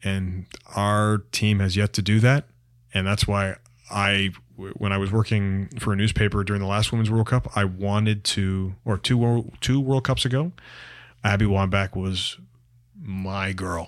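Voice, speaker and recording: With a Canadian accent, a man has an ordinary speaking voice, a fairly low pitch and fairly even intonation. He keeps a moderate pace in a very clean recording with a silent background. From Canada, York region near Toronto. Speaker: sports journalist. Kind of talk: casual chat.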